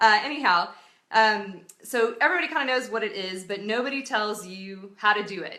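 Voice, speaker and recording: A woman speaks loudly at a fairly quick pace with ordinary pitch variation. Audible room echo surrounds her voice. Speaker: entrepreneur giving advice. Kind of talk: casual live video talk. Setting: live stream.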